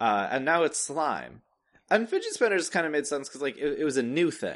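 Against a quiet background, a voice with vocal fry moves at a fairly quick pace with lively intonation. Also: man. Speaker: podcast host.

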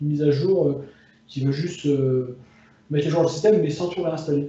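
Noticeable background noise and audible room echo surround the speaker. He is a man with a fairly high pitch and fairly even intonation. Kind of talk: casual chat. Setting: phone call from bedroom. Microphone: phone.

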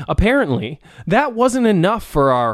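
The clip is plain reading aloud. Words come out one after another.

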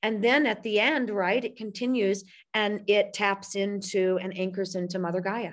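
At a moderate pace, a woman with an American accent speaks at a medium pitch with fairly even intonation, in a plain, everyday voice. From US Midwest, St. Louis, Missouri. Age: 40s. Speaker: spiritual coach and publisher. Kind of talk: casual interview chat.

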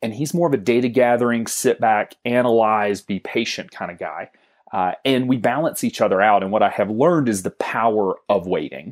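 In a plain, everyday voice with an American accent, a man speaks at medium pitch and a moderate pace with ordinary pitch variation, on a very clean recording with a silent background. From US South. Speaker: financial advisory business co-founder. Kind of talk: interview.

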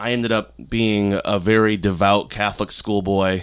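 At a moderate pace, a man speaks in a normal speaking voice that sits fairly low in pitch. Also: very clean recording, silent background. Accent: American. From Florida, US. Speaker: polyamory consultant. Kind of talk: casual interview. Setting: at home in his apartment.

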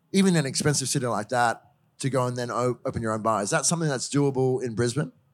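A man's medium-pitched voice with an Australian accent at a very fast pace, with ordinary pitch variation, on a very clean recording with a silent background. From Queensland. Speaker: podcast host and drinks journalist. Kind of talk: panel moderation.

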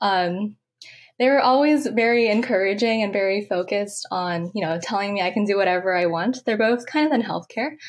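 In a very clean recording with a silent background, a woman speaks at a fairly high pitch with lively intonation. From San Francisco, California. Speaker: undergraduate researcher. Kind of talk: interview. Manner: hesitant, many fillers.

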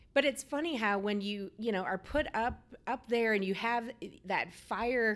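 With a Midwestern American accent, a woman talks at a moderate pace in a fairly high voice with ordinary pitch variation, on a very clean recording with a silent background. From rural Iowa. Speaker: state director of a small business development center. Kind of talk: interview.

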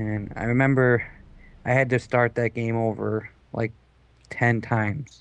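His intonation stays monotone and flat. The man's pitch is medium. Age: 20s. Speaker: gamer. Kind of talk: casual chat.

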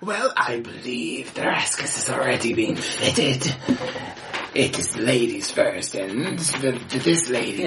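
Against loud background noise, a man puts on a character voice at medium pitch and a fairly slow pace. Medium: actual play. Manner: prim, mock-polite.

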